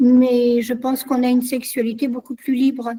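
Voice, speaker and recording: A woman talks at a very slow pace in a high pitch. Her tone is dark and mellow. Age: 60s. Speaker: guest speaker on culture. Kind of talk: online discussion session.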